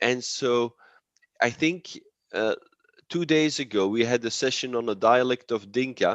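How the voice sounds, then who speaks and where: Someone with a Dutch accent speaks at a fairly slow pace, with ordinary pitch variation, long, frequent pauses and a dry, close sound with no echo. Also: man, medium pitch for a man, quiet background. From Belgium, Antwerp. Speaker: linguist. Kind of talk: academic presentation and Q&A. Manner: halting, many repetitions.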